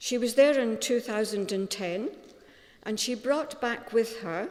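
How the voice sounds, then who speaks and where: In a Scottish accent, a woman talks at a fairly slow pace. Her fairly high pitch shows ordinary pitch variation. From Scotland. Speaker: eulogy speaker, friend of deceased. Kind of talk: eulogy. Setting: funeral service.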